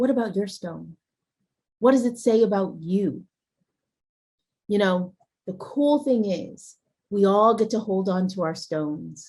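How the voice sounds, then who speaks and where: A woman's somewhat breathy, dark, mellow voice at a medium pitch, in a calm, warm tone, with ordinary pitch variation, a fairly slow pace and long, frequent pauses. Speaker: guest TV host. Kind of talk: guided imagery ritual and show hosting.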